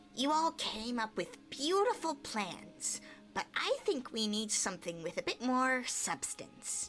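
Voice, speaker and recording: Over clear background noise, a woman does a put-on character voice, high-pitched, with very wide pitch swings and a fairly slow pace. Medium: game stream. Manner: confident, breezy.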